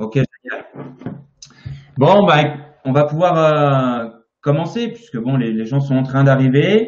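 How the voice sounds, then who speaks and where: Speaking at a very slow pace with long, frequent pauses, a man uses lively intonation in a fairly high pitch. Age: 30s. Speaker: naturopathy teacher and interviewer. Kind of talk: live-stream interview. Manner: hesitant, many fillers.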